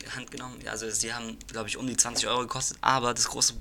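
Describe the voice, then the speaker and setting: Over noticeable background noise, a man talks very fast at a medium pitch with flat, monotone intonation. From Reutlingen area, Swabia, Germany. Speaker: podcast co-host. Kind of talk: casual chat. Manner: halting.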